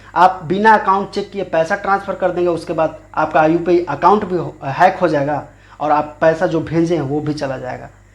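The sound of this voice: A man at a moderate pace, fairly high pitch, fairly even intonation and few pauses.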